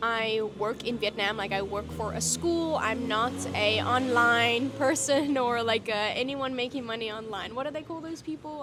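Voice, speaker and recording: With a fairly high pitch, a woman talks while music plays behind her. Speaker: vlogger and teacher. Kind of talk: casual vlog talk.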